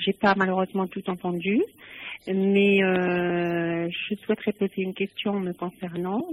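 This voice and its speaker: At a very slow pace, a woman speaks in a monotone, flat intonation. Her pitch is medium. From Algeria. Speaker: caller. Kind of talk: phone-in call. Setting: phone call.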